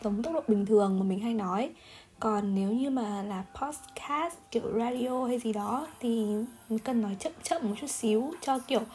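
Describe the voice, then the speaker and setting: Fairly high-pitched woman's voice with lively intonation, a fairly slow pace and noticeable background noise. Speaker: solo podcaster. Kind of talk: casual monologue. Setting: home recording with background music.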